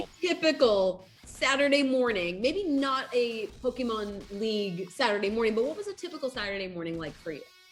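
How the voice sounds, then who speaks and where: A woman speaks at a fairly high pitch with very wide pitch swings and big swings in loudness. She hardly pauses, with music playing in the background. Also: fairly quick pace. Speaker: show host. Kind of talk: casual show hosting.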